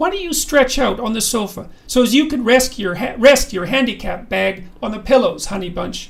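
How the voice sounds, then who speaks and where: This is a put-on character voice pitched fairly high. It moves at a moderate pace. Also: hardly any pauses. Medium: read story. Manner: homespun, folksy.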